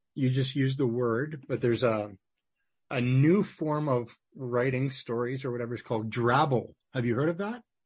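A somewhat breathy man's voice at medium pitch, with a Canadian accent. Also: ordinary pitch variation, moderate pace, quiet background. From Manitoba, Canada. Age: 50s. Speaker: podcast host. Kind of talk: interview.

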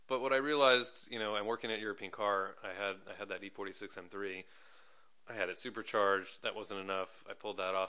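A man with an unremarkable speaking voice talks at a fairly quick pace, with a fairly low pitch and fairly even intonation. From New York. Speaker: commercial photographer. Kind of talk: casual chat.

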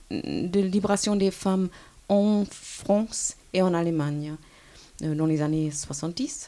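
A woman's dark, mellow tone at a very slow pace, with ordinary pitch variation. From Germany. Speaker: history professor. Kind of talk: interview. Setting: university office. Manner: hesitant.

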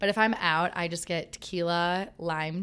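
On a very clean recording with a silent background, a woman speaks in a fairly low register. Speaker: wellness influencer. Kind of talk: casual chat.

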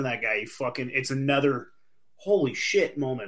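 Fairly quick and fairly high-pitched, a man speaks in an unremarkable speaking voice with ordinary pitch variation. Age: 30s. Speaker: podcast host. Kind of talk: casual chat.

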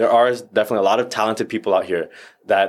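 A man speaks with an American accent in a monotone, flat intonation. The recording is very clean, with a silent background. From Northern Virginia. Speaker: actor and stuntman. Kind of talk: casual chat.

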